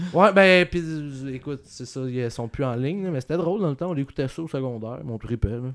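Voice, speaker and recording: A man uses a normal speaking voice at medium pitch with lively intonation. The recording is very clean, with a silent background. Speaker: podcast co-host and comedian. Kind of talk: casual chat.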